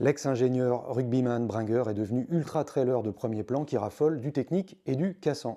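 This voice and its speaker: With hardly any pauses, a man talks in a dark, mellow tone with ordinary pitch variation. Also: medium pitch for a man, moderate pace. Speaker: podcast interviewer. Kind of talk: podcast intro narration.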